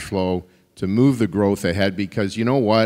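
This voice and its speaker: Against a quiet background, a man speaks at a fairly low pitch with ordinary variation. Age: 60s. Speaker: mining company CEO; panelist. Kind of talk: panel discussion. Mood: humorous, conversational. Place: hall. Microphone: handheld.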